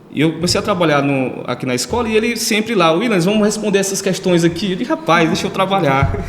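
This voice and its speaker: Over noticeable background noise, a man with a high pitch talks very fast with lively intonation and hardly any pauses. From Ceará, Brazil (Northeast). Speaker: lawyer. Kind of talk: interview. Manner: hesitant, many fillers.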